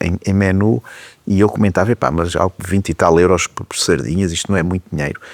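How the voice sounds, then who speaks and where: A man speaks in a plain, everyday voice, fairly low in pitch, with ordinary pitch variation. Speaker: TV talk show host. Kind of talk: interview questions.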